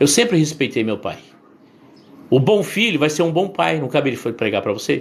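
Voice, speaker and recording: At a fairly quick pace, a man talks with vocal fry, a fairly high pitch and very wide pitch swings. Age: 60s. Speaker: bishop/pastor. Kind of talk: sermon. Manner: conversational, repetitive.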